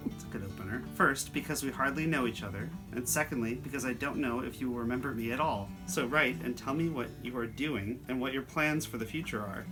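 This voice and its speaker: A man at a medium pitch talking at a fairly quick pace with lively intonation and hardly any pauses, music in the background. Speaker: grandson interviewer. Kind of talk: reading a letter aloud.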